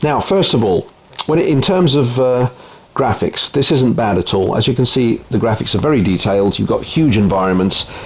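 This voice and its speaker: Noticeable background noise sits behind a man of medium pitch speaking at a moderate pace. His intonation is lively and his loudness very even. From Italy. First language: Italian. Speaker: gaming YouTuber. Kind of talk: game showcase commentary. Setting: home, wife present.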